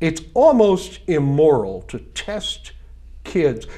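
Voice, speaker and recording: A man speaks with noticeable echo from the room around him. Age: 60s. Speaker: political candidate. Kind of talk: interview. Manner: animated.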